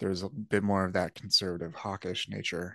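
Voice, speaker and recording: Over a quiet background, a man with an American accent speaks at a fairly low pitch in a bright, sharp tone with monotone, flat intonation, the sound dry and close with no echo. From US Midwest, Indiana. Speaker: podcaster and writer. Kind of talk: interview. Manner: halting, many fillers.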